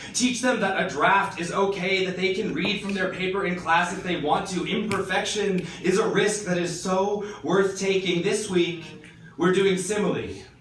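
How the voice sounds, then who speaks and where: A man with high pitch speaks at a moderate pace in a monotone, flat way. Music plays in the background, and audible room echo is present. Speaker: poet and high school English teacher. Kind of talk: slam poetry performance. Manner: impassioned.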